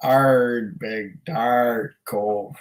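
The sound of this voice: A man puts on a character voice at medium pitch.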